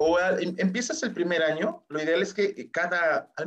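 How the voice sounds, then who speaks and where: This man's voice is high-pitched, his intonation lively, and his pace moderate. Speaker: insurance agent. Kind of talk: interview.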